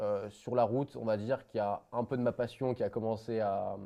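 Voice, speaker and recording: A man's fairly quick delivery sits fairly low in pitch, his intonation staying fairly even. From France, Isère near Savoie. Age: 20s. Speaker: young entrepreneur, former truck driver. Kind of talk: podcast interview. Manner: casual, hesitant with many fillers.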